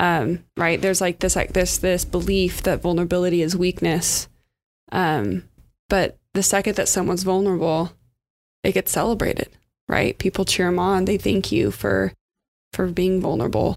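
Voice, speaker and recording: Speaking with vocal fry in a West Coast American accent, a woman keeps a moderate pace, ordinary pitch variation and very even loudness. The recording is very clean, the background silent. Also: fairly low pitch for a woman. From California. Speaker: community leadership worker. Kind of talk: casual chat. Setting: studio.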